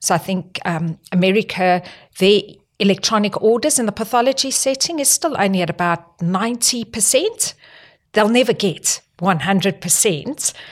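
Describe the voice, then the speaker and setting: In a South African accent, a woman talks at a medium pitch and moderate pace with ordinary pitch variation. The recording is very clean with a silent background. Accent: non-Australian, South African. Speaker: health technology executive. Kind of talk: podcast interview.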